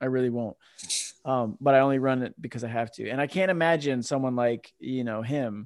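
With an ordinary speaking voice, a man talks at a fairly quick pace and a medium pitch. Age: 40s. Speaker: podcast host. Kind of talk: casual chat. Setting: video call.

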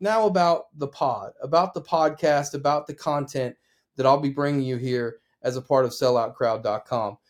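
In a very clean recording with a silent background, a man with an American accent and fairly high pitch uses a normal speaking voice at a moderate pace. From Oklahoma. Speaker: sports broadcaster and podcast host. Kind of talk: solo podcast monologue.

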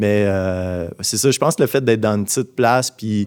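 This man's voice sits at a fairly low pitch and moves at a moderate pace. The recording is very clean, with a silent background. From Abitibi-Témiscamingue, Quebec. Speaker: visual artist. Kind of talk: interview. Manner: halting, many fillers.

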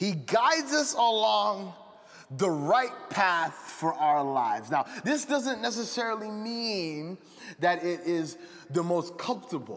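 A man's high voice at a very slow pace with very wide pitch swings, audible room echo, and noticeable background noise. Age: 20s. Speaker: pastor. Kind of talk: sermon. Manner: animated.

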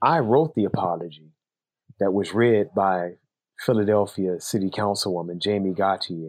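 With an American accent, a man speaks at a moderate pace in a normal speaking voice, fairly low in pitch. The recording is very clean, with a silent background. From Chicago. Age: 50s. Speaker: author and navy veteran. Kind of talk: interview conversation.

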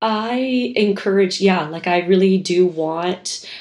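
This woman has an unremarkable speaking voice, fairly low in pitch, with fairly even intonation and a fairly slow pace. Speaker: skateboard club founder. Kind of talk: casual chat.

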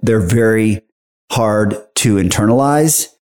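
This man has a normal speaking voice with an American accent, medium pitch and ordinary pitch variation. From Texas. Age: 50s. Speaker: bank marketing executive. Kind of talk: interview.

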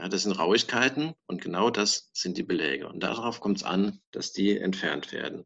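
In an unremarkable speaking voice, the speaker goes at a fairly slow pace. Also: man. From southwestern Germany, Palatinate and Mosel. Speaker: dentist. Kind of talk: interview.

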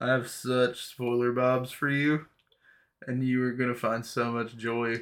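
A man speaks in a medium pitch with monotone, flat intonation. The recording is very clean, with a silent background. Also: fairly slow pace. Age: 30s. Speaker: podcast guest. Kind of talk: casual chat.

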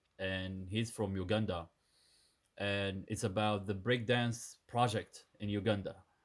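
Over a very clean, silent background, a man with a Sudanese accent speaks fairly slowly at a fairly low pitch in a monotone, flat intonation. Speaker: dancer and dance teacher. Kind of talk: interview conversation.

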